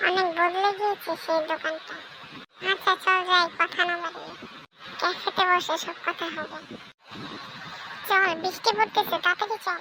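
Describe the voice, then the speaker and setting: In a cartoonish character voice, the speaker uses an extremely high pitch at a moderate pace. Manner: brisk, friendly.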